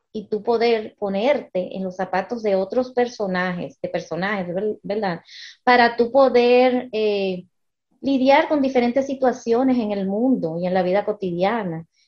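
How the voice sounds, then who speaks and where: A woman with a fairly high voice and ordinary pitch variation talks very slowly. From United States, Dominican parents. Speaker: educator and literacy specialist. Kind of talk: casual interview.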